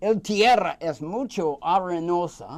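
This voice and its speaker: An American-accented man with lively intonation on a very clean recording with a silent background. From United States. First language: English (speaking Spanish). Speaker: cigar expert. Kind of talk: casual interview. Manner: halting, hesitant.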